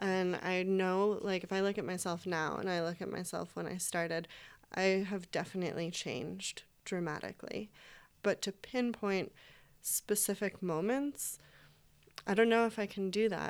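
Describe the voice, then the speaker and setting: A woman with an American accent speaks in a plain, everyday voice at a medium pitch and a moderate pace. Her pitch variation is ordinary, and the recording is very clean with a silent background. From upstate New York. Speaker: Chinese medicine student. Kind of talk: casual panel discussion.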